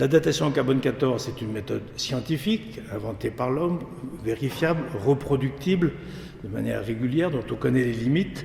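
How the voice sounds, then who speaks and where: A man's fairly quick speech with lively intonation and a medium pitch, amid noticeable background noise and audible room echo. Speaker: lecturer, association president. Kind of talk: lecture. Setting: church with audience. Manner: fast; halting, many repetitions.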